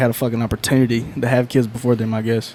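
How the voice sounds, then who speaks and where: With a North Carolina accent, a man speaks at a medium pitch. His intonation is monotone and flat. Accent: Southern North Carolina. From North Carolina, Lumberton. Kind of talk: casual chat.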